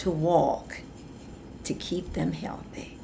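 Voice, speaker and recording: There is audible room echo as a woman speaks. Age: 70s. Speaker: bodybuilder and fitness trainer. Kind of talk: interview.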